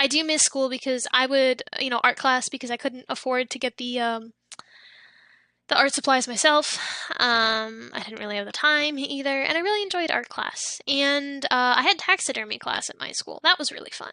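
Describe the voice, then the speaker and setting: A woman's high, bright, sharp voice at a moderate pace, with big swings in loudness, ordinary pitch variation, and a dry, close sound with no echo. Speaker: livestreamer. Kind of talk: casual chat. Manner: halting.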